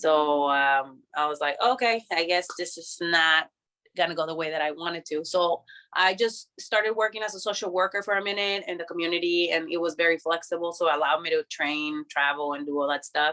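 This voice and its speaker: At a fairly quick pace, a woman speaks with a fairly low pitch, a bright, sharp tone and ordinary pitch variation. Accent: Spanish. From Mexico, Tijuana. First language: Spanish. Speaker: professional wrestler. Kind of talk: casual interview. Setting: video call. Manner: casual, filler-heavy.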